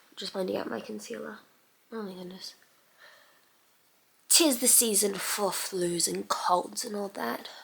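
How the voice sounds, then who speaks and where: A woman's voice with big swings in loudness and long, frequent pauses, against noticeable background noise. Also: fairly slow pace. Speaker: beauty youtuber. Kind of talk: tutorial. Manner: quieter than usual.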